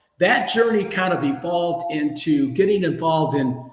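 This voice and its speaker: Amid audible room echo and music in the background, a man with an American accent speaks at a high pitch with lively intonation. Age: 60s. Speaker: entrepreneur. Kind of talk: interview.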